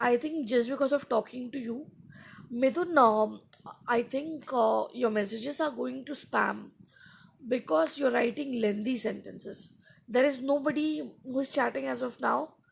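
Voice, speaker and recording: This woman speaks with an Indian accent at a moderate pace. Her high pitch shows ordinary pitch variation. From India, Andhra Pradesh. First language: Hindi. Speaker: English teacher live-streaming. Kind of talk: live stream chat with viewers. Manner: casual, with fillers.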